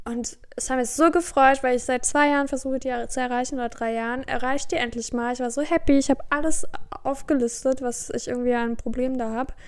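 A woman's high-pitched voice at a fairly quick pace with fairly even intonation. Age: 20s. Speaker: podcast co-host, student. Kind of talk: casual chat.

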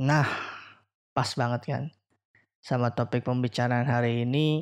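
The man's medium-pitched voice holds a fairly even intonation. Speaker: podcast host. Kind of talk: casual chat. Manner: loud.

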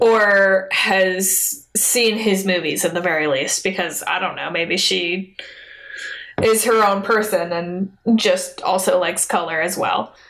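Against noticeable background noise, a woman speaks at a very slow pace and a medium pitch with fairly even intonation. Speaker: podcast host. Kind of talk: casual chat, film review podcast.

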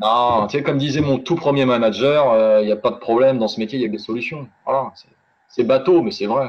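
The man has an unremarkable speaking voice, pitched medium, with ordinary pitch variation and a fairly quick pace. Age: 20s. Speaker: real estate negotiator and life annuity expert. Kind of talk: interview. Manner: casual.

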